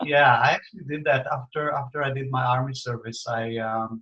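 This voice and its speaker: A man with an Israeli accent at a medium pitch and moderate pace. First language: Hebrew. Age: 60s. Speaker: spiritual teacher. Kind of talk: interview. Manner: halting, many fillers.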